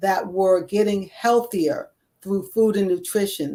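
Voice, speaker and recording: The woman has an unremarkable speaking voice at a medium pitch. She talks at a fairly slow pace with ordinary pitch variation. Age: 60s. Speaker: retired court reporter and ordained clergy, wellness coach. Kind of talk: interview conversation.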